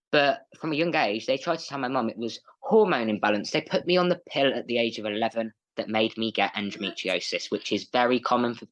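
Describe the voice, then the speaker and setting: Speaking fairly quickly with hardly any pauses, a man with an English accent uses lively intonation at a medium pitch. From England. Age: 20s. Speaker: guest on mental health podcast. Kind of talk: interview, personal story. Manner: animated, bubbly.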